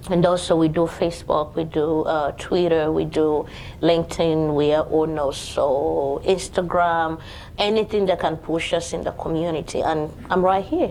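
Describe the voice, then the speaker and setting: A woman's fairly low, dark and mellow voice at a moderate pace. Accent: Ugandan. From Uganda. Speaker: home care business owner. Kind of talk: panel talk at networking event. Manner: lively, bubbly.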